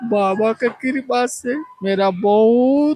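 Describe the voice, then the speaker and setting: A man is talking. His voice sounds dry and close, free of echo. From Bihar, Arrah (Bhojpuri region). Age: 70s. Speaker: pilgrim devotee, retired bank employee. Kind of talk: street interview.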